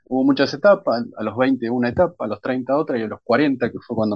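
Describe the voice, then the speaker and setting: With a normal speaking voice, a man talks at medium pitch and a moderate pace. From Argentina, Bahía Blanca. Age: 40s. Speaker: crime novelist. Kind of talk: interview.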